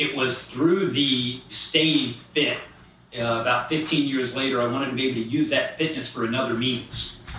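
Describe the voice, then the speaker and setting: A man's medium-pitched speech at a moderate pace and with fairly even intonation, amid noticeable background noise and audible room echo. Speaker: executive coach. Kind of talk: interview. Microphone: poor sound quality.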